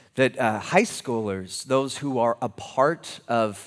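A man of medium pitch with an American accent, in a very clean recording with a silent background. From California. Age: 20s. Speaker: pastor. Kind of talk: sermon. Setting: church. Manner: halting.

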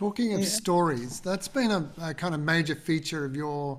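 A man speaks at a fairly quick pace with an Australian accent. His pitch sits fairly high, with ordinary variation. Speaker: podcast co-host. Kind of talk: casual interview chat.

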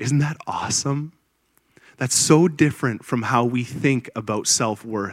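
Speaking at a fairly slow pace with a Canadian accent, a man keeps to a medium pitch and ordinary pitch variation. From Ontario, Canada. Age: 30s. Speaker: pastor. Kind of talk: sermon. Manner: animated.

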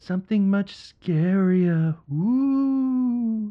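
An unforced reading voice carries lively intonation throughout.

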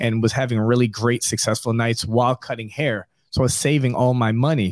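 On a very clean recording with a silent background and a dry, close sound with no echo, a man with an American accent talks at a fairly quick pace in a medium pitch with monotone, flat intonation. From New York. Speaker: barbershop owner. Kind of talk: interview.

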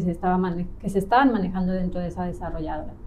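Amid noticeable background noise and audible room echo, a woman speaks at a medium pitch with a Mexico City accent. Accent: central Mexican Spanish (Mexico City). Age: 30s. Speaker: real estate agent, trained architect. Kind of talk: interview, personal story. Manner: calm, relaxed.

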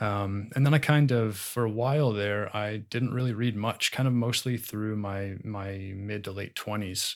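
In a very clean recording with a silent background, a man with a fairly low pitch talks with fairly even intonation and hardly any pauses. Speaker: blogger and listener guest. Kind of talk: casual chat. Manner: halting, filler-heavy.

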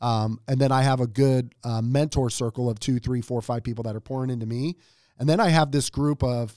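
In a plain, everyday voice, a man speaks at a fairly quick pace with a medium pitch and fairly even intonation. The recording is very clean with a silent background and a dry, close sound with no echo. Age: 40s. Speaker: franchise owner and entrepreneur. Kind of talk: interview.

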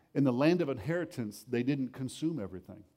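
A man speaks with a plain, everyday voice. His pitch is medium, with ordinary pitch variation. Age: 40s. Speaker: pastor. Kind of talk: sermon. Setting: church.

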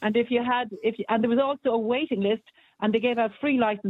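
Very fast and very even in loudness, a woman in an Irish accent talks with a fairly high voice and ordinary pitch variation. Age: 60s. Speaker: caller. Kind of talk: talk radio phone-in.

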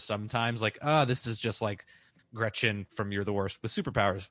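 A man talks at a fairly quick pace with a fairly low pitch and fairly even intonation. He has a plain, everyday voice. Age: 30s. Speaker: podcast host. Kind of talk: casual chat.

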